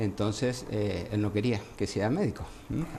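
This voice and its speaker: A man speaks at a fairly low pitch with an Argentine accent and ordinary pitch variation. His tone is dark and mellow, and somewhat breathy. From Argentina, Entre Ríos province. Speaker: gynecologist. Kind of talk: interview.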